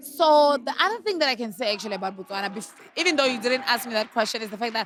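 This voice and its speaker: A woman speaks loudly at a very fast pace, her tone animated and her pitch high. Her intonation is lively, and there is noticeable background noise. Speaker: podcaster and former reality TV contestant. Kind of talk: casual interview chat. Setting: at a fashion event.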